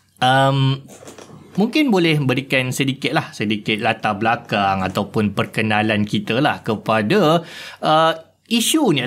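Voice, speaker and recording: Fairly slow speech from a man, fairly high in pitch, with very wide pitch swings. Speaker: podcast host. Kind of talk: podcast interview.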